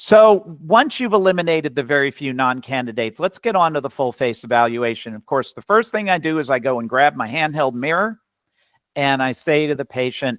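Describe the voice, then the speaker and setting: Lively in intonation, a man with an American accent talks fairly quickly at a fairly high pitch in a dry, close sound with no echo. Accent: slight New York accent, occasionally. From New York. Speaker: physician and educator. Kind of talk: webinar lecture. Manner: conversational.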